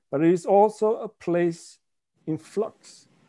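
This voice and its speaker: A man speaks with a Swedish accent, his pitch high for a man. His tone is dark and mellow over a quiet background. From Sweden. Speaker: author. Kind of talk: reading aloud. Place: home room. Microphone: video call.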